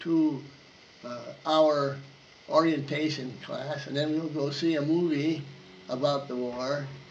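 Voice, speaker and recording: A fairly high-pitched man speaks at a very slow pace with monotone, flat intonation amid audible room echo. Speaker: war veteran. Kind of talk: oral history interview. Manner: halting.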